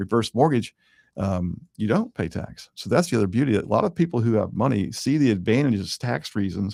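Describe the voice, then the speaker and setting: A man's normal speaking voice, medium in pitch, fairly quick and lively in intonation, on a very clean recording with a silent background. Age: 60s. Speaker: mortgage lender and show host. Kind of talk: radio-style talk show monologue. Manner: conversational with frequent fillers and repetitions.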